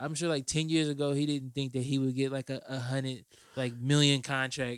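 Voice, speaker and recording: A man's medium-pitched voice, flat and monotone, at a fairly quick pace. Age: 20s. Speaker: podcast host and rapper. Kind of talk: casual chat.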